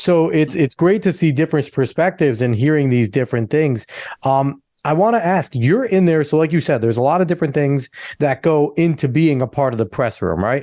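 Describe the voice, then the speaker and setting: With a New Jersey accent, a man speaks at a fairly high pitch and a fairly quick pace, his dark, mellow tone carrying lively intonation at very even loudness over a quiet background. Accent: New Jersey American. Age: 30s. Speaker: podcast host. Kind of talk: interview.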